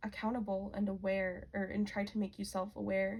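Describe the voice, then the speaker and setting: At a moderate pace, a woman at medium pitch speaks in a somewhat breathy, monotone, flat way. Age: 20s. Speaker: tarot reader. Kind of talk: tarot reading monologue. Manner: casual, with frequent fillers.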